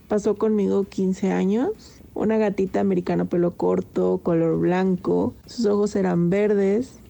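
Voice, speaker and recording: The speech runs at a fairly slow pace with very even loudness. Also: woman. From Mexico, Zacatecas. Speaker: pet owner, quality department worker. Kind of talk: personal anecdote, casual.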